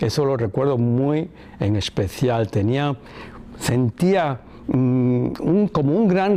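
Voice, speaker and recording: A man speaks in a fairly high voice with lively intonation. Noticeable background noise sits behind him. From Cuba. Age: 60s. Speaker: son of a former head of state. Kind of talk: interview testimony. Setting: filmed interview.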